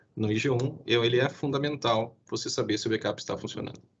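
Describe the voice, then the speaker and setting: The man's voice sits at a medium pitch and is somewhat breathy. His intonation stays monotone and flat. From southern Brazil (Rio Grande do Sul). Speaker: IT security specialist. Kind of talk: webinar presentation. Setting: live stream. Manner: fast.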